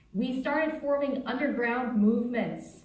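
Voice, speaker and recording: A woman speaks over noticeable background noise. Her voice carries an audible room echo. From South Africa, German background. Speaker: software engineer and panelist. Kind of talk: panel talk.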